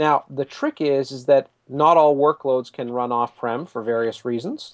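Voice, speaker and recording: A man with a Canadian accent, a normal speaking voice, fairly high pitch, ordinary pitch variation and a moderate pace, in a dry, close sound with no echo. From Canada. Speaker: tech company executive. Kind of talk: casual interview chat.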